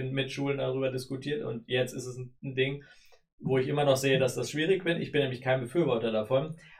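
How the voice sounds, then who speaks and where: Noticeable background noise sits behind a man speaking at a fairly quick pace. His medium-pitched voice keeps fairly even intonation. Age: 30s. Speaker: state politician. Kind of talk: interview. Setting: studio.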